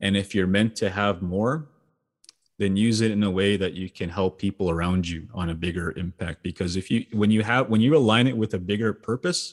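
A man uses a normal speaking voice at a moderate pace with ordinary pitch variation, in a very clean recording with a silent background. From Saskatchewan, Canada (First Nation reserve). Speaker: entrepreneur and speaker. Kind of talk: interview.

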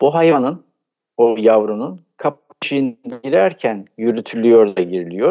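This man talks very slowly at a medium pitch, his intonation lively. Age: 70s. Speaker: architecture professor, folk culture researcher. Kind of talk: radio interview.

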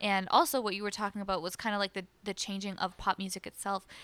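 Speaking at a fairly quick pace, a woman has a plain, everyday voice at medium pitch. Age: 20s. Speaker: singer-songwriter. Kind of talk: casual chat. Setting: radio studio.

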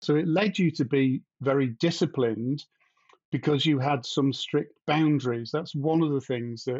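A man speaks at a fairly slow pace with fairly high pitch and ordinary pitch variation. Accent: British. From UK. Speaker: independent developer. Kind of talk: casual conversation.

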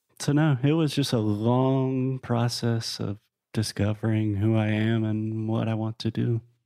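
Over a quiet background, a man with an unremarkable speaking voice talks at a fairly slow pace, with a medium pitch and fairly even intonation. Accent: American. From US South. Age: 30s. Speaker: podcaster and entrepreneur. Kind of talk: casual interview chat.

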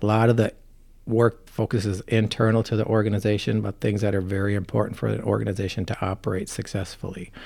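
Speaking at a very fast pace, a man with an American accent keeps a fairly low pitch and fairly even intonation. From Minnesota, Farmington. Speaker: city administrator. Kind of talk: interview.

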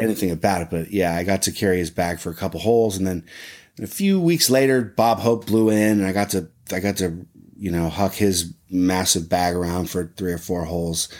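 A man with an American accent and a very deep, low pitch speaks at a fairly quick pace with fairly even intonation in a very clean recording with a silent background. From US Midwest, Ohio (Muirfield area). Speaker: voiceover artist for golf commercials. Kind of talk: casual interview.

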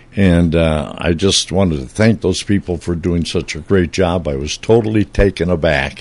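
There is noticeable background noise as a man with a very deep, low pitch speaks at a moderate pace with hardly any pauses and ordinary pitch variation. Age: 80s. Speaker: retired radio broadcaster, station founder. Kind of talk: casual chat. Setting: studio. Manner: halting.

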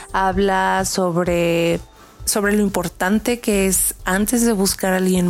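A woman speaks at a medium pitch and a fairly slow pace, with fairly even intonation. Background noise is noticeable. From northern Mexico, Saltillo, Coahuila. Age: 20s. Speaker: singer-songwriter. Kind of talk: self-presentation of a new single.

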